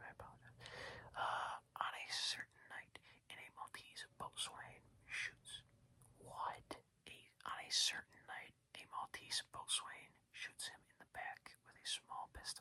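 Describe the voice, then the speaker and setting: Whispering at a fairly slow pace. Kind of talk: audiobook reading. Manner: whispered, soft-spoken.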